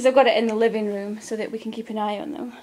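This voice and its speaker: Noticeable background noise runs under the recording. A woman speaks in a fairly high pitch. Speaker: pet owner vlogger. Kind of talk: casual show-and-tell tour. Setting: living room at home.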